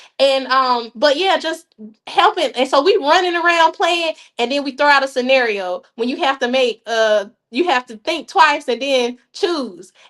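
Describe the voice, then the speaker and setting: With a Southern US accent, a woman speaks at a moderate pace in a high-pitched, animated tone with lively intonation, in a very clean recording with a silent background. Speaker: youth program organizer. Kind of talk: podcast interview.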